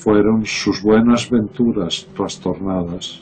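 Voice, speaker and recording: This man's voice sits fairly low, with ordinary pitch variation. He speaks at a very slow pace. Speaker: poetry reciter. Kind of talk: poetry reading.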